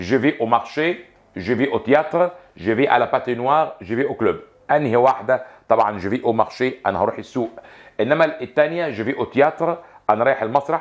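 A man with an Egyptian accent, lively intonation and a fairly quick pace, over a quiet background. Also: medium pitch for a man. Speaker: French teacher. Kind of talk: lecture. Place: studio. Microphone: lapel.

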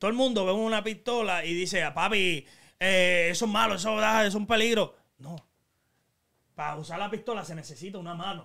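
A raised, projected voice with a bright, sharp tone and a Puerto Rican accent moves at a fairly quick pace, with ordinary pitch variation. Loudness swings widely, and the recording is very clean with a silent background. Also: man, high pitch for a man. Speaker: YouTube channel host. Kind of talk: casual chat. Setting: studio. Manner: talkative.

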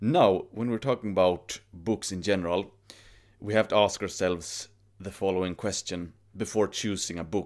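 Against a quiet background, a man speaks at a moderate pace. His pitch is fairly low and his intonation fairly even. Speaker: YouTuber giving self-improvement advice. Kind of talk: monologue to camera. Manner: formal, grandiloquent. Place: home room. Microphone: studio mic.

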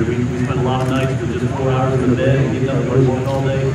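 The speech comes at a very fast pace. Audible room echo and loud background noise fill the recording. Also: man. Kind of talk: interview answer. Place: open country.

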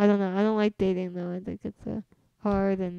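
A woman with an American accent speaks in a monotone, flat intonation and a dark, mellow tone. The sound is dry with no echo, and the background is quiet. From US West Coast, San Jose, California; California. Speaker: comedian. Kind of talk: casual chat. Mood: casual, relaxed. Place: home room.

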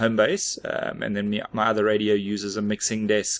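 A man with a fairly low pitch speaks at a fairly quick pace. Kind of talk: tutorial. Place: workshop. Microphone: studio mic.

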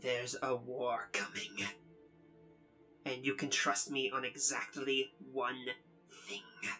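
Over clear background music, a man in a put-on character voice speaks at a medium pitch and a fairly slow pace, with long, frequent pauses. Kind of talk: comic-book fan dub acting. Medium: fan dub. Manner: subdued, earnest, pleading.

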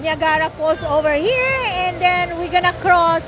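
Against faint music in the background, a woman speaks at a fairly slow pace with ordinary pitch variation and a dry sound with no echo. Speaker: family vlogger. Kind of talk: casual vlog chat. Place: street. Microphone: phone near.

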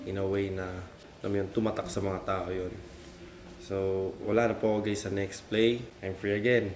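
Audible room echo around a man's fairly low-pitched voice at a moderate pace. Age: 30s. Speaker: vlogger and sneaker shop owner. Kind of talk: casual vlog talk. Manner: animated.

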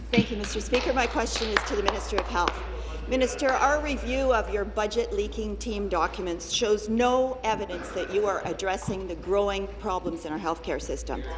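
A woman talks at a middling speed as noticeable noise carries on in the background. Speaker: opposition legislator. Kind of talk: parliamentary debate. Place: hall. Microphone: podium.

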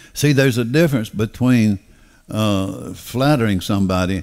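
A man with a Southern US accent talks at a moderate pace with lively intonation and a fairly low pitch. The background is quiet. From US South. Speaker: pastor. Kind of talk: sermon. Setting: church. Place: church. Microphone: headset.

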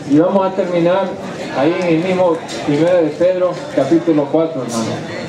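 Over noticeable background noise, a man talks at a moderate pace in a high voice with ordinary pitch variation. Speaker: preacher. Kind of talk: sermon to inmates, preaching from the Bible.

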